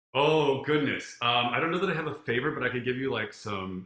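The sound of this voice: Speaking at a fairly quick pace, a man uses ordinary pitch variation with a medium pitch and a fairly bright tone.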